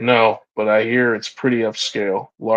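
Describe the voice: Against quiet surroundings, the text is read aloud plainly.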